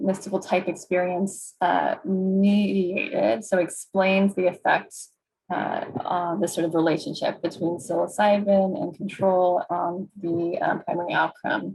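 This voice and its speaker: Somewhat breathy, a woman speaks at a fairly slow pace with a medium pitch. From US Northeast, New York City. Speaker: clinical psychologist and researcher. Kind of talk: webinar presentation.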